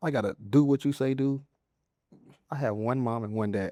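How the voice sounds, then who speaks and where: This voice has a dark, mellow tone with a Southern US accent. Its pitch varies in an ordinary way. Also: man, dry, close sound with no echo. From Mississippi, USA. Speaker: comedian and content creator. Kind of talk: interview answer.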